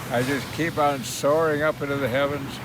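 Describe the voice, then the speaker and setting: There is noticeable background noise and audible room echo as a man speaks at a moderate pace and a fairly high pitch. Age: 90s. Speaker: war veteran. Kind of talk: casual chat.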